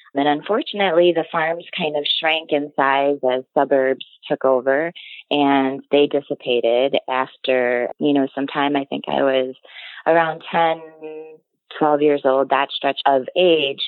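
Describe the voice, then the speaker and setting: A woman with a Midwestern US accent speaks at a fairly slow pace in a very deep, low pitch. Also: fairly even intonation. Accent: US Midwest. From Illinois. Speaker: dairy farmer. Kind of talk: casual interview.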